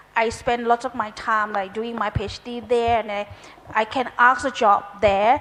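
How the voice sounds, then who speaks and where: At a moderate pace, a woman with a fairly high pitch talks in monotone, flat intonation amid noticeable background noise. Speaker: English teacher. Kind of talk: panel discussion.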